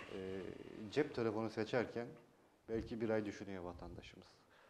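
Light background noise sits behind a man's voice. He keeps a moderate pace and fairly even intonation. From Turkey, Yalova (Çiftlikköy); Turkey. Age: 30s. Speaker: mayoral candidate, former journalist; candidate. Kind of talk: TV interview. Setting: TV studio. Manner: hesitant, many filler sounds. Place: studio. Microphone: lapel.

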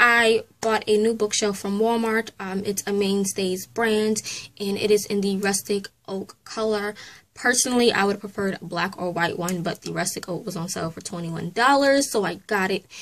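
The speaker goes at a moderate pace with fairly even intonation. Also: woman. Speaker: book vlogger. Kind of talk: casual vlog chat. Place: home room. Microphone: phone near.

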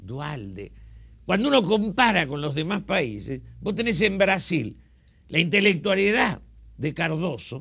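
A man speaks at a fairly slow pace in a bright, sharp tone, his voice high for a man and swinging very widely in pitch, with long, frequent pauses. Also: quiet background. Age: 70s. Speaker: politician. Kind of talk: interview. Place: studio. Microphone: lapel.

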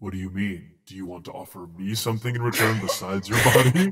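A put-on character voice from a man, fairly low in pitch and very fast. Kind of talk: game master voicing villain. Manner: menacing, contemptuous.

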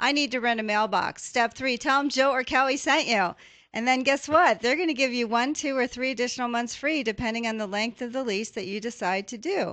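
A woman with an American accent speaks in a high pitch with a bright, sharp tone and an animated delivery. She moves at a fairly quick pace with hardly any pauses over a quiet background. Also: ordinary pitch variation. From US West. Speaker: radio talk show host. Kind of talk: radio talk show. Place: studio. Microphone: studio mic.

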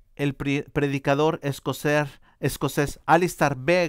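Against a quiet background, a man talks at a very slow pace in a dry sound with no echo. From Mexico. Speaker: church interpreter; preacher. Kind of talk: interpreted sermon. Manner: halting, many false starts. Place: church.

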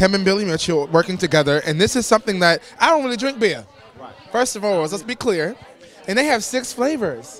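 A man speaks at a fairly quick pace and high pitch in an animated tone. Crowd noise fills the background, and the sound is dry with no echo. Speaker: co-host and musician; co-host. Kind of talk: red carpet interviews. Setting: event venue. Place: hall. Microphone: handheld.

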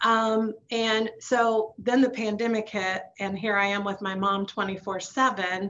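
At a very slow pace with hardly any pauses, a woman speaks in a fairly high pitch with monotone, flat intonation over light background noise. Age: 50s. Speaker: bank branch manager; panelist. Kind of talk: panel discussion. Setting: video call. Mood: emotional, talks of grief. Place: office. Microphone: video call.

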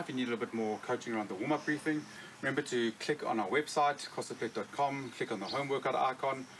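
Light background noise sits behind a man talking at a very fast pace. His pitch variation is ordinary. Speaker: fitness coach. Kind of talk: tutorial. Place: street.

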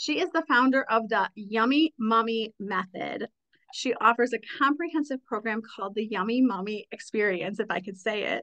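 A woman with a fairly high pitch sounds animated, her tone bright and sharp, with ordinary pitch variation. She keeps a moderate pace over a quiet background. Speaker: podcast host. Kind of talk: casual interview. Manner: animated, excitable. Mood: warm, smiling. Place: home room. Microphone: studio mic.

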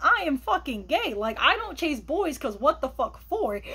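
A woman speaks at a fairly slow pace. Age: 20s. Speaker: vlogger. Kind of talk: personal monologue. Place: home room. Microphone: phone near.

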